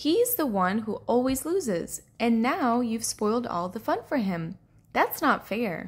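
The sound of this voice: A woman's put-on character voice, fairly high with big pitch swings, a slightly husky edge and a fairly slow pace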